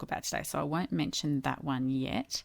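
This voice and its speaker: Moderately paced speech from a woman with an Australian accent. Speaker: podcast co-host. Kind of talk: casual podcast conversation.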